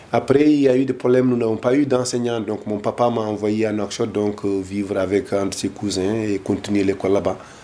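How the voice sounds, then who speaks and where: A man with a dark, mellow tone and a fairly low pitch speaks at a fairly quick pace with fairly even intonation and hardly any pauses. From Mauritania, Gorgol region, Senegal river valley. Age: 50s. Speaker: political activist, deportation witness. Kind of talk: interview testimony. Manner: hesitant, many fillers.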